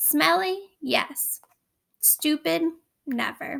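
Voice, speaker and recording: A woman performs a put-on character voice pitched high. Her pitch swings very widely. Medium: read story. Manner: wry, sardonic.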